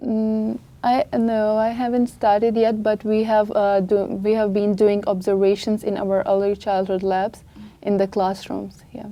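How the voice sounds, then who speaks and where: A woman with a non-native accent at a fairly high pitch, fairly slow and monotone, her intonation flat. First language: not English. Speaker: international student. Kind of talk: press conference answers.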